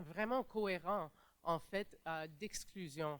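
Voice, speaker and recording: A very slow pace with ordinary pitch variation. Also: woman. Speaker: panelist, migrant rights advocate. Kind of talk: conference panel talk. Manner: halting, many fillers and restarts.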